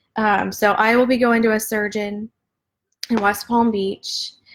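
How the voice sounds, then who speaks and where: The recording is very clean, with a silent background. The voice is an unremarkable speaking voice at a fairly slow pace. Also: woman. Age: 30s. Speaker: patient sharing health story. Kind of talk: casual live video talk to viewers.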